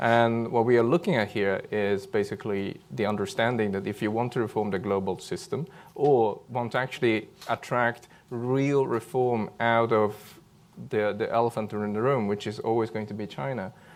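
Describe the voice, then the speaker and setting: In a non-native accent, a man at medium pitch speaks at a moderate pace with ordinary pitch variation. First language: not English. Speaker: policy panelist. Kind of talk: panel discussion. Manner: hesitant, many fillers.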